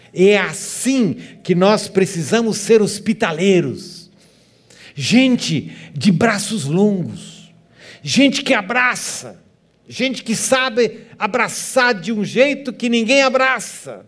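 The speaker talks at a very slow pace with lively intonation, and audible room echo can be heard. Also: man, high pitch for a man. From southern Brazil, Joinville, Santa Catarina (German-descended community). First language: German (speaking Portuguese). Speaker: guest pastor. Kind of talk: sermon. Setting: church.

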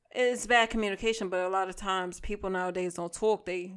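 This woman, with an American accent and a medium pitch, talks at a fairly quick pace with fairly even intonation. The recording is very clean, with a silent background. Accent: New York with Boston-ish tinge. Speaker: podcast guest. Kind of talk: casual chat.

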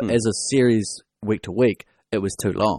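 A man speaks in a fairly low pitch with a New Zealand accent. The sound is dry and close with no echo, against a quiet background. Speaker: podcast host. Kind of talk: casual chat.

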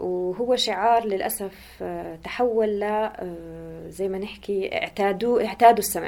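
A woman talks fairly slowly in a monotone with flat intonation. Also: medium pitch for a woman. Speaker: podcast host. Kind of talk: interview. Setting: at the guest's home.

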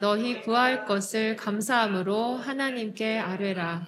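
Over noticeable background noise, a woman with a fairly high pitch speaks at a very slow pace with fairly even intonation. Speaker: scripture reader. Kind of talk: reading aloud.

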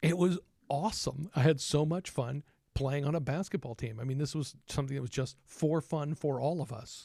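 A man talks at a fairly high pitch with a dark, mellow tone that is somewhat breathy. His pace is moderate and his pitch variation ordinary, on a very clean recording with a silent background. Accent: American. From Texas. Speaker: trumpet player and teacher. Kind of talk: casual podcast conversation.

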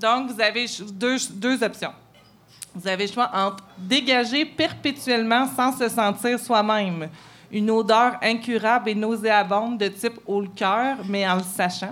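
A woman with an ordinary speaking voice speaks at a fairly slow pace and a fairly high pitch, with ordinary pitch variation. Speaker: columnist. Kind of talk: live podcast chat; read-aloud editorial.

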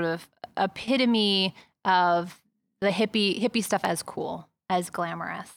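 A woman with an American accent uses a normal speaking voice at medium pitch with ordinary pitch variation, in a very clean recording with a silent background. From New York City (Manhattan, East Village). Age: 40s. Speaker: author and journalist. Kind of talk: interview.

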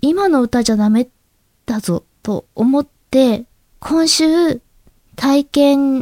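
A woman's high-pitched, dark, mellow voice with lively intonation, very slow pace and long, frequent pauses, in a dry, close sound with no echo. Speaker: amateur voice actress and podcast host. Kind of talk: solo podcast talk. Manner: quiet.

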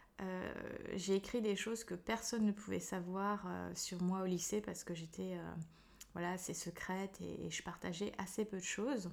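A woman's pitch sits in the medium range. She keeps a moderate pace with fairly even intonation. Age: 30s. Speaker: psychologist. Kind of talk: casual chat. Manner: hesitant.

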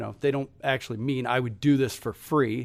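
With a Midwestern US accent, a man speaks at a moderate pace in a fairly high pitch with ordinary pitch variation. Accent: US Midwest. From Cincinnati, Ohio, US Midwest. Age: 40s. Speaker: entrepreneur. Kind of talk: interview.

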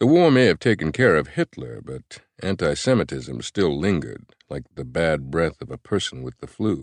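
The voice sounds strained, with vocal fry, very wide pitch swings and big swings in loudness, moving at a moderate pace with hardly any pauses in a dry, close recording with no echo. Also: man, very deep, low pitch for a man. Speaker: audiobook narrator. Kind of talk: dramatic audiobook narration, first-person fiction reading. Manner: conversational, carefully paced, with restrained emotion; intimate, tender, slightly nervous in the love scene.

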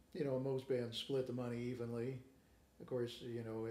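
A man with an American accent talks at a fairly quick pace and medium pitch, with noticeable background noise and audible room echo. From Kansas City, Kansas. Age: 50s. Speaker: guitarist and guitar teacher. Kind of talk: casual interview. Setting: in person interview.

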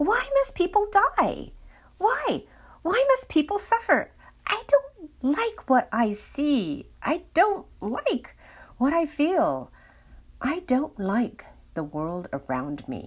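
Using a put-on character voice, the speaker goes at a very slow pace with long, frequent pauses. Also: woman, extremely high pitch for a woman. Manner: wailing, anguished.

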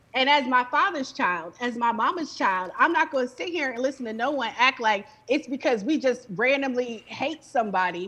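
An animated woman with an American accent speaks in a raised, projected voice at a high pitch. Her intonation is lively and her pace fairly quick. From Chicago. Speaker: movement journalist and retired attorney. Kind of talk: heated debate.

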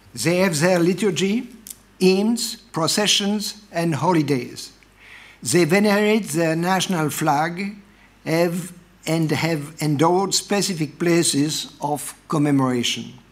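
A high-pitched man with a French accent at a very slow pace, ordinary pitch variation, and audible room echo. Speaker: professor. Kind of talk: read-out academic lecture. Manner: formal.

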